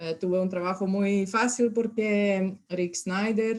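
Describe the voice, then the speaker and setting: A woman with a Serbian accent, medium-pitched, speaking at a very slow pace. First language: Serbian (speaking Spanish). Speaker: university extension specialist. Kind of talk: lecture. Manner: halting.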